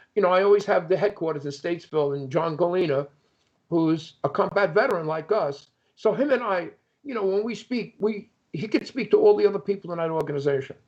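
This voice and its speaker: A man with an American accent talks at a very fast pace in a high pitch with ordinary pitch variation. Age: 70s. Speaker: Vietnam veteran. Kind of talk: casual chat. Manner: halting.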